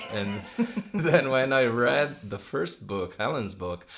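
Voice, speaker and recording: Speaking with a non-native accent, a man goes at a fairly slow pace with lively intonation. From Brazil, São Paulo. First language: Portuguese. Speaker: enneagram teacher. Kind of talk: podcast conversation. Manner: hesitant, many fillers.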